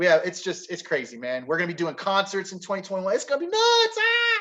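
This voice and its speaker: Speaking at a very fast pace, a man delivers his words in an animated tone. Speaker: forex trading educator. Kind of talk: webinar presentation. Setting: online webinar.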